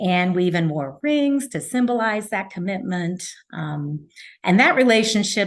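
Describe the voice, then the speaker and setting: An ordinary speaking voice, fairly slow, with lively intonation. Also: woman. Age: 60s. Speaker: coaching client. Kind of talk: podcast interview.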